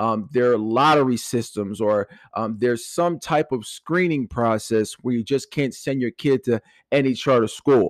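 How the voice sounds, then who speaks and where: Speaking with a Philadelphia accent at a medium pitch and moderate pace, a man's voice shows ordinary pitch variation, with a dry, close sound, no echo and a quiet background. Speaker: real estate agent. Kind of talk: casual talk to camera.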